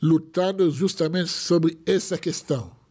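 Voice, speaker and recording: Someone with an Israeli accent speaks at a very slow pace against a quiet background. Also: man. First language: Hebrew (speaking Portuguese). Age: 40s. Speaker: rabbi. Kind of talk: casual chat. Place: studio. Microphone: studio mic.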